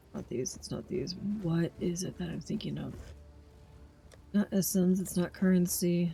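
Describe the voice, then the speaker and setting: Speaking at a moderate pace with long, frequent pauses, a woman sounds somewhat breathy, her fairly low pitch held in fairly even intonation. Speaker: video game streamer. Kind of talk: live gameplay commentary. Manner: halting, self-correcting.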